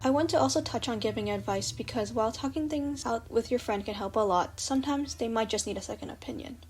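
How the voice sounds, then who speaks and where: With music in the background, a woman talks at a very fast pace with hardly any pauses. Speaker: storytime animator. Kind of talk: advice narration for animation.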